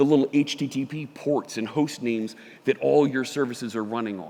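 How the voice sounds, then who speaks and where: A man speaks with a Philadelphia accent and a dark, mellow tone. He moves along at a fairly quick pace. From US Northeast, Philadelphia. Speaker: software developer and conference speaker. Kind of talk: conference talk. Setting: stage with audience.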